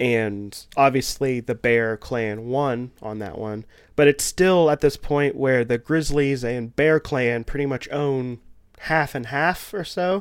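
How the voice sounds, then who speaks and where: A man with a Kentucky accent at medium pitch, very slow pace and ordinary pitch variation, in a very clean recording against a silent background. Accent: Kentucky Southern US. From Kentucky, US South. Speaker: podcaster. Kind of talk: casual chat.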